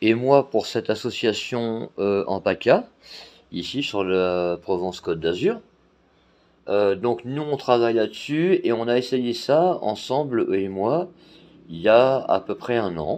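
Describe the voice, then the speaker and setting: Speaking very slowly against a quiet background, a man with a medium-pitched voice uses lively intonation. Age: 40s. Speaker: blind guide dog volunteer and YouTuber. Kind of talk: casual vlog talk to camera. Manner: hesitant, many fillers.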